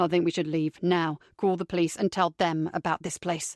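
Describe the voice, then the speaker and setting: In a put-on character voice, a woman growls at a fairly low pitch with monotone, flat intonation and a moderate pace. The sound is dry and close with no echo, on a very clean recording with a silent background. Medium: read story. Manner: aggressive, blunt.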